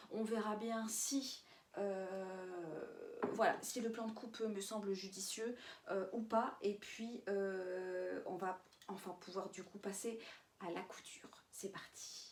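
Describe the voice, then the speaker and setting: Speech comes at a very slow pace with fairly even intonation and audible room echo. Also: woman, medium pitch for a woman. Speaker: sewing vlogger. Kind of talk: casual vlog narration. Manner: hesitant, many filler sounds.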